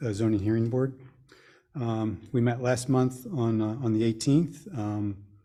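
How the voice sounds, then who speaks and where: The voice is somewhat breathy with a dark, mellow tone and moves at a moderate pace. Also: man. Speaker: environmental advisory committee member. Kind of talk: committee report at public meeting. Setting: township board meeting room. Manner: halting, many fillers.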